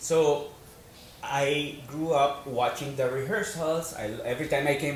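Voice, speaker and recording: A man with a fairly high pitch speaks amid noticeable background noise, his voice carrying audible room echo. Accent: Spanish. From Spain, Madrid. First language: Spanish. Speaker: actor and financial advisor. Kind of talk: interview.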